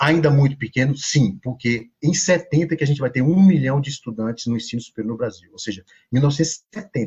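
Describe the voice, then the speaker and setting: With ordinary pitch variation, the man talks at a moderate pace in a somewhat breathy, fairly high voice. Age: 40s. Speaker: sociology professor. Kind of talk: podcast interview.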